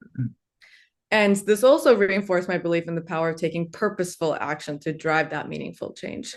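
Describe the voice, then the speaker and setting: Speaking at a fairly quick pace with a Turkish accent, a woman with a fairly low voice is heard over a quiet background. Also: ordinary pitch variation. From Turkey (Istanbul), moved to US at nine. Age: 20s. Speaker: law student and entrepreneur, book contributor. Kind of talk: webinar talk.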